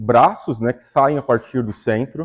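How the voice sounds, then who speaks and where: This is a man speaking. He has a Brazilian accent. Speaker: astronomer giving public talk. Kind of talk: public lecture. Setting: stage with audience. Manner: casual, conversational.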